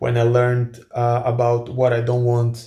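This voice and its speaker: Speaking at a fairly slow pace in a Croatian accent, a man has a dark, mellow, somewhat breathy tone. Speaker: influencer and author. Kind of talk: casual Q&A monologue. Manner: hesitant with many fillers and repetitions.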